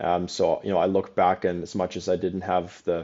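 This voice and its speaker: Very deep and low in pitch, a man's voice stays monotone and flat. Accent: slight German. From Germany (Cologne). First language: German. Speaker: real estate company president. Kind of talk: podcast interview.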